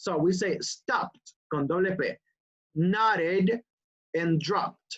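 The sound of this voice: The speech moves at a slow pace with ordinary pitch variation. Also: woman.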